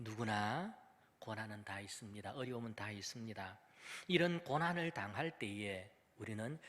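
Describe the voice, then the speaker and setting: In a very clean recording with a silent background, a man speaks at a fairly slow pace in a bright, sharp tone with very wide pitch swings. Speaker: pastor. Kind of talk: sermon. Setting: church with PA system. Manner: deliberately lowered volume.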